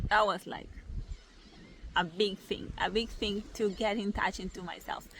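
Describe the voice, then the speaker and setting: Speaking in a non-native accent, a woman holds a medium pitch with monotone, flat intonation. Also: fairly slow pace. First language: not English. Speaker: spiritual content creator. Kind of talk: casual vlog monologue. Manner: halting, many fillers.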